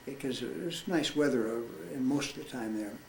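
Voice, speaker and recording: A man with an American accent speaks at a moderate pace with medium pitch and ordinary pitch variation. The recording has noticeable background noise and audible room echo. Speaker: war veteran. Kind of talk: testimony. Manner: halting.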